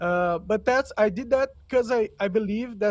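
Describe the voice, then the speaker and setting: A man speaks with a Portuguese accent. The recording is very clean, with a silent background. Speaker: podcaster. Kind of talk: interview. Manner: halting.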